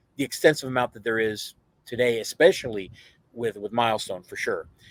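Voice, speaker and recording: A man at a medium pitch talks in an animated tone at a fairly quick pace, with ordinary pitch variation. His loudness swings widely, and the sound is dry and close with no echo. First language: Spanish. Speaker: comic convention founder. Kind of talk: casual podcast interview. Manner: animated, with many fillers and restarts.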